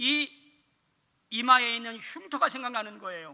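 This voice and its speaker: In a raised, projected voice with a bright, sharp tone, a man speaks at an extremely high pitch and a very slow pace. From Korea, Chungcheong (Dangjin). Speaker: pastor / evangelism teacher. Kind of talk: sermon.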